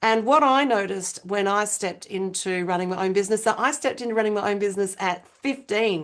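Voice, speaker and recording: A woman with an Australian accent speaks at a moderate pace in a medium pitch. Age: 50s. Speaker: business strategist. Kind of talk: interview conversation. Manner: animated.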